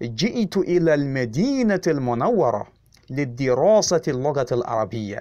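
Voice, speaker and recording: The tone is dark and mellow, with very wide pitch swings. Delivery comes at a very slow pace. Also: man. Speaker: Arabic teacher. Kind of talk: tutorial. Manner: slow, repetitive drilling.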